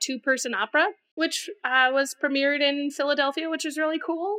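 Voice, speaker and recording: A woman speaks in a high voice at a moderate pace, with ordinary pitch variation. Her tone is bright and sharp, and her voice is raised and projected. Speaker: guest, singer and song contest entrant. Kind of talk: casual chat.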